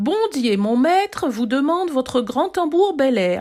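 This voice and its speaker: A put-on character voice from a woman, high-pitched and fairly slow. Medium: read story.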